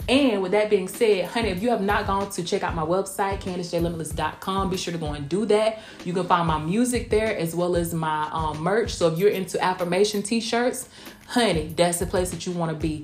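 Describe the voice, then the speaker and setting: Music plays behind a woman with an American accent. She talks at a fairly quick pace in an animated tone. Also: medium pitch for a woman, ordinary pitch variation. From southwest Georgia, US South. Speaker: R&B recording artist and podcast host. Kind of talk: casual solo podcast monologue. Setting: recorded at night in Tampa. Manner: chatty, animated, uses 'honey' and 'y'all'.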